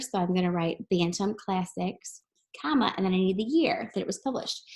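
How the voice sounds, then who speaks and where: Here is a woman with a medium pitch. Her voice is somewhat breathy. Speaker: teacher. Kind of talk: recorded lesson tutorial. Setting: screen-share video lesson. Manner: fast.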